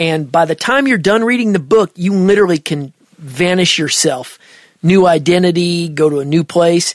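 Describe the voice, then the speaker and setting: Moderate-paced speech in a Midwestern accent. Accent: Midwest American. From Nebraska. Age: 50s. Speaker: audio mixing engineer. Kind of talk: casual interview chat.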